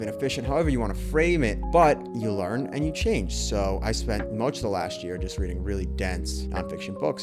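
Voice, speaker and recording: A man's pitch swings very widely. Music can be heard behind him. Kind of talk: casual reflective monologue to camera. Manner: thoughtful, somewhat halting with repeated words.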